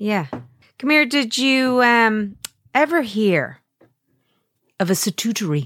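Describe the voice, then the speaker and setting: A woman speaks very slowly in an Irish accent, her fairly high pitch moving through very wide swings while her loudness stays very even. Long, frequent pauses break up her speech, and the recording is very clean with a silent background. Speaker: podcast co-host, radio presenter. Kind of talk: casual chat.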